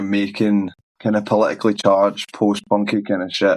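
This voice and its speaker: A man with a Glasgow accent speaks at a fairly low pitch. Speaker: musician. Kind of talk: interview answer. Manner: casual.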